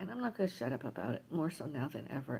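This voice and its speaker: Words tumble out very fast while clear background noise runs underneath. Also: woman. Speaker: livestreamer. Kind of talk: casual livestream monologue. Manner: rambling, halting.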